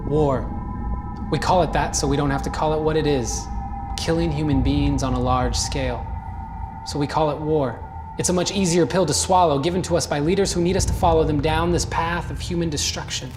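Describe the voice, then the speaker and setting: A man speaks at a fairly quick clip while music plays in the background. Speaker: spoken word poet. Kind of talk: spoken word poetry performance.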